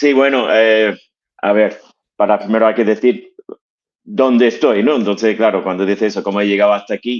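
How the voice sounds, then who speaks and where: A man's fairly low voice moves at a moderate pace, its intonation fairly even. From US, Connecticut. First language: English (speaking Spanish). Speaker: fitness franchise executive. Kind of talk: interview.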